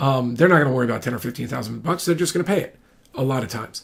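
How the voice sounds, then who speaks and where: With vocal fry, a man speaks at a fairly high pitch. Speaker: real estate attorney and broker. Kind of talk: informal explainer monologue. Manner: fast; halting, many fillers and restarts.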